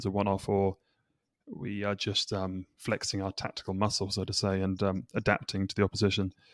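A man speaks with an English accent at a fairly low pitch. His intonation is monotone and flat. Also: very clean recording, silent background. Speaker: podcast host. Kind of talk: casual chat.

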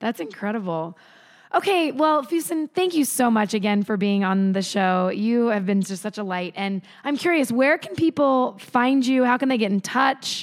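A woman talks at a moderate pace with a warm, enthusiastic tone. Her fairly high voice swings very widely in pitch. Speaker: podcast host. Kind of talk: casual interview chat. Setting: video call.

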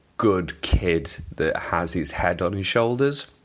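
A man's very deep, low voice with a Welsh accent, lively intonation and a very slow pace. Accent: mild Welsh. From Wales. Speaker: wrestling podcast host. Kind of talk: casual chat. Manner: hesitant, many fillers and repetitions.

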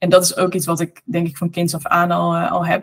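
Speech comes at a fairly quick clip in a somewhat breathy voice. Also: woman. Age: 30s. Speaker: author and entrepreneur. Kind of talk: interview conversation.

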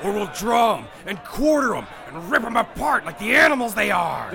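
Over clear background noise, a man raises and projects his voice, pitched high with lively intonation. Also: moderate pace. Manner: shouting, frenzied, menacing.

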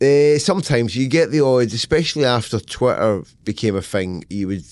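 A man with a Scottish accent and lively intonation. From Scotland. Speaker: novelist. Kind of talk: casual interview chat. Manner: animated, profane.

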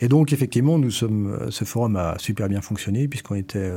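On a very clean recording with a silent background, a man speaks at medium pitch in a dark, mellow tone with ordinary pitch variation. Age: 50s. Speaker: company director. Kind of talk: interview. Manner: halting.

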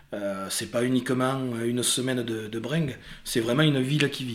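A man speaks at a medium pitch. His intonation stays fairly even at a moderate pace. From Casteljaloux, Lot-et-Garonne. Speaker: lifelong friend, festival-goer. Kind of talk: interview storytelling.

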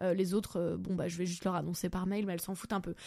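In a very clean recording with a silent background, the voice has an animated tone. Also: woman. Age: 30s. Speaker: comedian and podcast host. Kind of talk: casual chat. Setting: home recording, bedroom.

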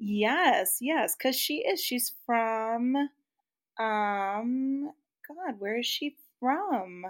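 A woman with an American accent speaks very slowly in a high pitch with lively intonation, on a very clean recording with a silent background. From US Midwest. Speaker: podcast co-host. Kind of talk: casual chat.

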